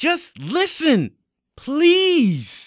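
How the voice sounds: On a very clean recording with a silent background, a man puts on a character voice at an extremely high pitch, with very wide pitch swings and a very slow pace.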